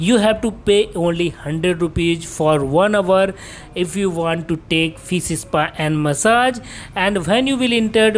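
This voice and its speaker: Her voice is an ordinary speaking voice, fairly low in pitch, with ordinary pitch variation and very even loudness. The woman speaks at a fairly slow pace over light background noise. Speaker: travel vlogger. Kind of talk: casual vlog commentary. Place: street. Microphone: phone near.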